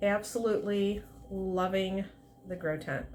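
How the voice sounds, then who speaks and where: Soft-spoken and very slow, a woman speaks at a medium pitch with audible room echo. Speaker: plant hobbyist vlogger. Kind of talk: casual plant update vlog. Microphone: quiet recording, no external mic.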